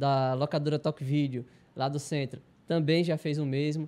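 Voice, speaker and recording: His tone is dark and mellow. The man talks at a moderate pace, pitched fairly high. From Arapiraca, Alagoas, Brazil; Alagoas, Brazil. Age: 20s. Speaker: taekwondo athlete. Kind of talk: interview. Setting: studio. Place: studio. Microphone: handheld.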